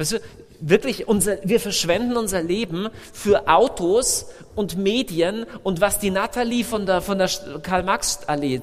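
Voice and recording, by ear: The speech moves at a moderate pace with few pauses.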